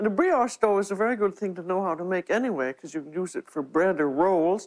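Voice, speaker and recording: A woman with an ordinary speaking voice talks at a medium pitch with lively intonation over a quiet background. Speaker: TV cooking show host. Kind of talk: cooking demonstration to camera.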